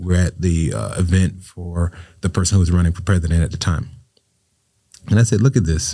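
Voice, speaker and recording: This man, with an American accent, has a very deep, low pitch and a dark, mellow tone that is somewhat breathy. He talks at a fairly quick pace with ordinary pitch variation. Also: very clean recording, silent background. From Florida, Riviera Beach. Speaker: state senator. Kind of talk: interview.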